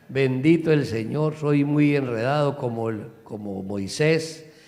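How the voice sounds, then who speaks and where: With audible room echo, a man speaks in an animated tone at a medium pitch with ordinary pitch variation. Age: 60s. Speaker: pastor. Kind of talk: church greeting. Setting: church.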